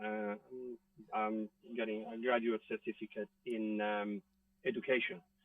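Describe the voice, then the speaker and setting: A man with an Italian accent speaks at a medium pitch and fairly slow pace, using ordinary pitch variation. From Italy. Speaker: actor. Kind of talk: interview answer. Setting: outdoors.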